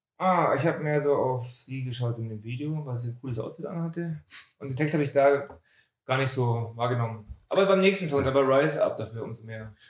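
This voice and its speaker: Somewhat breathy and fairly high-pitched, a man talks at a fairly quick pace with ordinary pitch variation and big swings in loudness. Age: middle-aged. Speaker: music podcast co-host. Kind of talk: casual chat.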